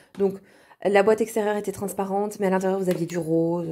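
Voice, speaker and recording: A woman speaking fairly quickly amid noticeable background noise. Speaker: vlogger. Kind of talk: shopping haul vlog. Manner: casual, with frequent hesitations.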